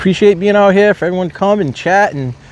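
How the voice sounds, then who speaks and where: Noticeable background noise runs under a man who talks fairly quickly with an American accent. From Rhode Island, US. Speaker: live streamer. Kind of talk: live stream chat commentary. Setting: outdoors at port. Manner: loud; casual, chatty.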